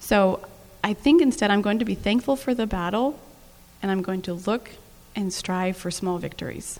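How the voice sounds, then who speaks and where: Speaking at a moderate pace, a woman has a plain, everyday voice, medium pitch and ordinary pitch variation. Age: 40s. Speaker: mother, panelist. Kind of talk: panel discussion.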